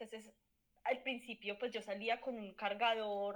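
A woman with a plain, everyday voice, fairly high in pitch, with fairly even intonation. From Colombia, Manizales. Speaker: sociologist, journalist and mother. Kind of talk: casual chat.

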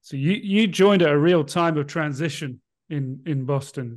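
A man with a British accent speaks at a fairly slow pace against a quiet background. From Britain. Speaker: podcast co-host. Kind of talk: casual interview. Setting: video call.

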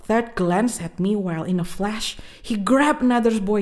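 The pitch moves in an ordinary way as this unforced reading voice carries on.

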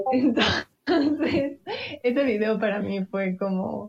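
Very slow female speech with ordinary pitch variation. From Quito, Ecuador. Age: 20s. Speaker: podcast co-host. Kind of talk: casual chat.

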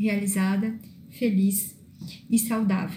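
In a room with audible echo, a woman speaks fairly slowly, her fairly high voice somewhat breathy with a dark, mellow tone. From southern Brazil (northern Rio Grande do Sul). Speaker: self-development coach. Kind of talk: monologue vlog. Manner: halting with fillers.

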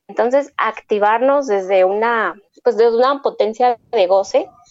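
With fairly even intonation, a woman speaks at a fairly slow pace in an unremarkable speaking voice. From Mexico. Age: 20s. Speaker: dance collective member. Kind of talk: casual interview.

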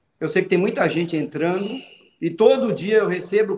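The voice is male. Its pitch moves in an ordinary way. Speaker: football agent. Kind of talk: casual chat.

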